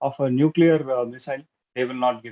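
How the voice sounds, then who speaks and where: A man speaks with a Tamil accent. His pitch is fairly high. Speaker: club speaker. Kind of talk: prepared speech. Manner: halting.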